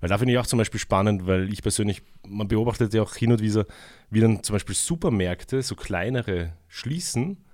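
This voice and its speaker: A man speaks in a plain, everyday voice at a fairly quick pace. His pitch is fairly low, with ordinary variation. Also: very clean recording, silent background. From Vienna, Austria. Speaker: community radio host. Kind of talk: radio interview. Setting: radio studio.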